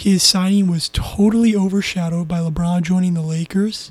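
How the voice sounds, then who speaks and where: In a Californian accent, a man with a high voice speaks at a fairly slow pace with fairly even intonation, the sound dry and close with no echo. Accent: Californian American. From Southern California. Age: young. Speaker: sports podcaster. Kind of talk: casual solo sports commentary.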